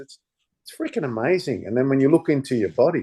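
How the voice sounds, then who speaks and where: A man with an Australian accent, dark and mellow in tone, against a quiet background. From Australia and Denmark/Netherlands. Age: 60s. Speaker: former stuntman and martial artist. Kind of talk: casual interview chat. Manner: halting with many repetitions.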